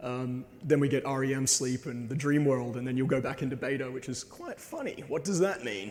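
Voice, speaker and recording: A man talks at a fairly quick pace with fairly even intonation, with noticeable background noise and audible room echo. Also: medium pitch for a man, hardly any pauses. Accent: Australian. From Australia. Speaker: presenter. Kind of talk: lecture.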